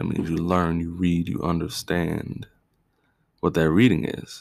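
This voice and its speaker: The man's pitch is very deep and low. He talks at a fairly slow pace. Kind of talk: solo podcast monologue. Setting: home recording with fireworks in background. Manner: casual, conversational.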